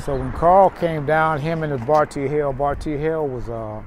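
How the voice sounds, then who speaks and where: A man with a Texas accent at a moderate pace, dry sound with no echo and light background noise. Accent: Southern US, Texas. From Houston, Texas. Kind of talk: oral history interview answer. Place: street.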